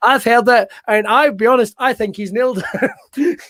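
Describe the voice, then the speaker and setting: In a strong Scottish accent, a man talks at a moderate pace with a dry, close sound and no echo. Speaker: wrestling show host. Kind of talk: casual chat.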